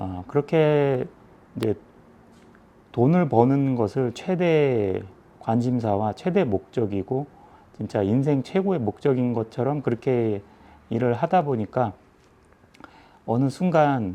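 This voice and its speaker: Using a dark, mellow tone, a man talks at a very slow pace with lively intonation and long, frequent pauses. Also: medium pitch for a man. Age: 40s. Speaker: music shop owner. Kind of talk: casual talk to camera. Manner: hesitant, many fillers.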